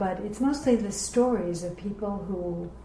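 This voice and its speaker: A woman with an American accent speaks at a moderate pace. Noticeable background noise and audible room echo surround her. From New York City (Bronx, Queens). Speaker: professional organizer. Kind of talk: oral history interview.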